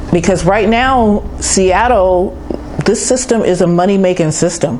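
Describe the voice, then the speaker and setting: Against noticeable background noise and audible room echo, a woman speaks at medium pitch. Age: 60s. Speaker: homeless person interviewed. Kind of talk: street interview.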